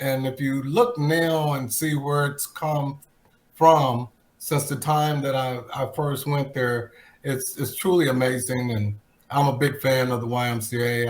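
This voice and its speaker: Somewhat breathy, a man speaks at a fairly slow pace. His pitch is medium. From Texas, Plano. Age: 60s. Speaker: retired football player. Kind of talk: interview.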